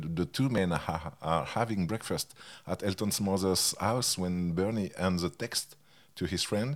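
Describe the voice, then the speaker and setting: A man in a French accent, very deep and low in pitch, at a moderate pace. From France. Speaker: music journalist and author. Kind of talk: interview.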